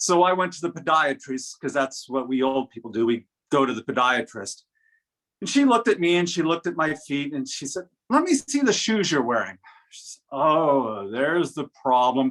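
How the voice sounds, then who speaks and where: With an unremarkable speaking voice, a man talks at a moderate pace in a fairly high pitch, his loudness swinging widely. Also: lively intonation. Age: 60s. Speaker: humorous speech contestant. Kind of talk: humorous speech.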